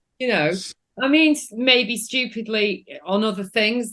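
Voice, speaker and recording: This woman speaks with a northern English accent and ordinary pitch variation. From northern England. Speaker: film director. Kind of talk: casual chat.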